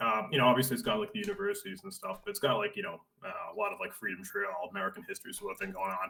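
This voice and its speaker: A man with a Boston accent at a very fast pace. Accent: thick Boston. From Boston area, Massachusetts. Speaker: teacher. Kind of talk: casual chat.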